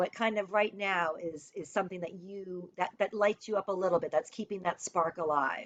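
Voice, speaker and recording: In a dry, close recording with no echo, a woman speaks at a moderate pace in an animated tone. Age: 40s. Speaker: life coach. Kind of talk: live stream talk.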